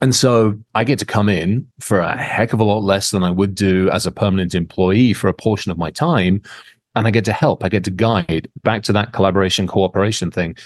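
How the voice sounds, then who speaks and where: This man has a normal speaking voice at a fairly low pitch. He talks at a fairly quick pace with ordinary pitch variation. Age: 50s. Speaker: cybersecurity expert. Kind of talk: casual interview.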